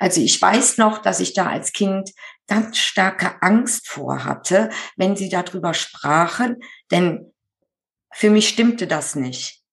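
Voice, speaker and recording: At a very slow pace, a woman speaks at medium pitch with vocal fry and ordinary pitch variation. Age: 50s. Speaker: medium who draws portraits of the dead. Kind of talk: interview.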